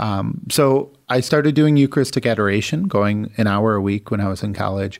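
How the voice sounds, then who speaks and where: A man talks at a fairly low pitch. He hardly pauses at all. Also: ordinary pitch variation. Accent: American. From Michigan, US. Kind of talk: interview.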